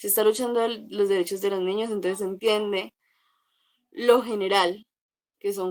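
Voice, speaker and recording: A woman with an unremarkable speaking voice at a medium pitch, moderate pace and ordinary pitch variation, in a dry, close sound with no echo. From Colombia, Cauca. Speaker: psychologist. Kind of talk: talk.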